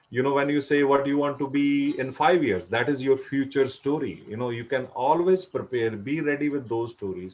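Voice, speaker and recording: The speaker is a man with a Punjabi accent and a fairly high pitch. He keeps a moderate pace. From India, Punjab. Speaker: career advice speaker. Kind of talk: panel discussion.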